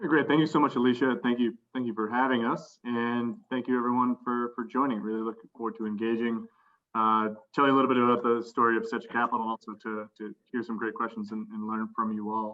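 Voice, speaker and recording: A man with an American accent, an unremarkable speaking voice, a fairly quick pace and fairly even intonation. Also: medium pitch for a man. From Boston, US. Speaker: investment fund managing director. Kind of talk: panel interview.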